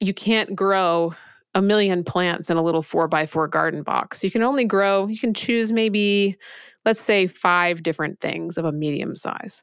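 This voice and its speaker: A woman with an ordinary speaking voice talks at a moderate pace, her pitch medium and its variation ordinary, on a very clean recording with a silent background. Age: 40s. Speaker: entrepreneur and author. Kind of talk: interview conversation.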